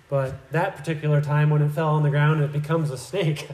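Over noticeable background noise and audible room echo, a man talks at a fairly quick pace with a fairly high pitch. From Iowa, US Midwest. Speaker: missionary church builder and visiting preacher. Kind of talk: sermon. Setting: church. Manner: halting, frequent fillers.

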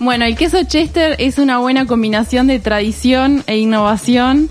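A high-pitched woman speaks at a fairly slow pace. Noticeable background noise runs underneath. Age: 20s. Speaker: cheese business manager. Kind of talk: radio interview. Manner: halting, many fillers.

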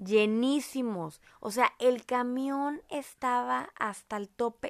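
A woman with a northern Mexican accent, recorded dry and close with no echo. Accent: northern Mexican (Monterrey). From Mexico, Monterrey. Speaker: podcast host, mother. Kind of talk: casual family chat.

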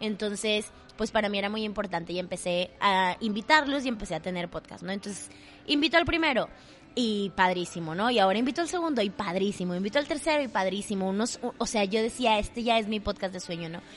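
A woman's medium-pitched voice with a strong Monterrey accent, lively intonation and a very fast pace. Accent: strong Monterrey (regio) Mexican. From Monterrey, northern Mexico. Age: 20s. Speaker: theatre actress and podcaster. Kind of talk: casual chat. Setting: coffee shop.

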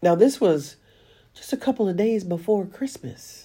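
In a very clean recording with a silent background, a woman with an American accent speaks very slowly at medium pitch, her tone dark, mellow and somewhat breathy, her pitch swinging very widely. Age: 60s. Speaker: podcast host. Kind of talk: monologue podcast, spiritual talk.

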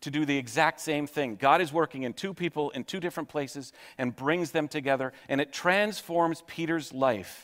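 This is an ordinary speaking voice from a man, pitched fairly high and moving at a fairly quick pace. The pitch variation is ordinary, and the recording is very clean with a silent background. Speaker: pastor. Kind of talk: sermon. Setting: church.

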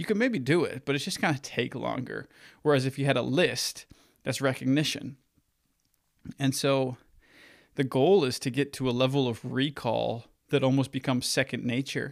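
At a moderate pace, a man speaks at medium pitch with vocal fry. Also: very clean recording, silent background. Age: 20s. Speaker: podcast host and marketing agency owner. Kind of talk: solo audio journal monologue. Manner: halting, many fillers and restarts.

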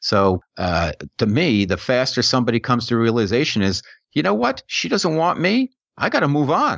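Against a quiet background, a man at medium pitch speaks with a New York accent at a moderate pace, with very wide pitch swings and very even loudness, in a dry, close sound with no echo. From New York area. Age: middle-aged. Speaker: author. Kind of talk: casual chat.

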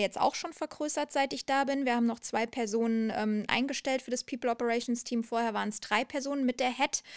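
Energetic in tone and high in pitch, a woman speaks at a fairly quick pace on a very clean recording with a silent background and a dry, close sound with no echo. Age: 30s. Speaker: HR and employer branding manager. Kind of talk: interview. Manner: passionate.

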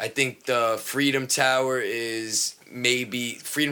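With a New York accent, a man at medium pitch speaks very slowly in a bright, sharp tone, with monotone, flat intonation. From New York, Long Island. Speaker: podcast co-host. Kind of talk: casual chat. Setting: studio.

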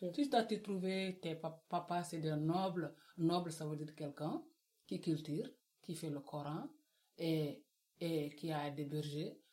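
Speaking at a very slow pace with long, frequent pauses, a woman uses a fairly low, dark and mellow voice with ordinary pitch variation. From West Africa. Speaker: book club guest. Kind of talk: casual chat.

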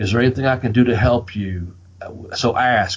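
With a Southern Appalachian accent, a man of medium pitch talks at a moderate pace, somewhat breathy, with ordinary pitch variation. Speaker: wrestling podcast host. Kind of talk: casual, profane podcast chat. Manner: animated, profane.

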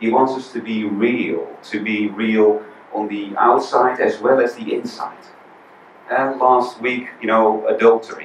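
A man with a Dutch accent speaks at a medium pitch and a fairly slow pace, his intonation monotone and flat. Audible room echo surrounds his voice. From Netherlands. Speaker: visiting preacher. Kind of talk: sermon. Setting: church.

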